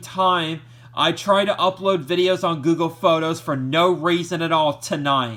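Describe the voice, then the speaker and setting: Shouting loudly, a man speaks with lively intonation. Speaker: YouTuber, VHS collector. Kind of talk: vlog rant. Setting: at home, TV on. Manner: loud, shouting; halting, repetitive.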